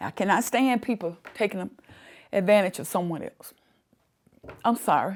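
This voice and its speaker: A woman's medium-pitched voice at a moderate pace, with ordinary pitch variation, big swings in loudness, and long, frequent pauses, on a very clean recording with a silent background. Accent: Alabama. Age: 60s. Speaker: community advocate. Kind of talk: documentary interview.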